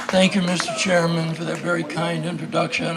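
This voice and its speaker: High in pitch, a man talks at a moderate pace. Audible room echo and noticeable background noise are present. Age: 80s+. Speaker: former congressman, political speaker. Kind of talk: political speech. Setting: outdoors at a picnic. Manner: energetic, inspirational.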